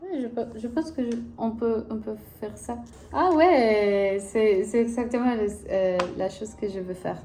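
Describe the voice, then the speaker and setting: With lively intonation and a fairly high pitch, a woman speaks at a fairly slow pace amid audible room echo and noticeable background noise. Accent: Spanish. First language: Spanish (speaking French). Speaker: language-learning vlogger. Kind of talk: casual vlog, language practice. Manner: halting, hesitant.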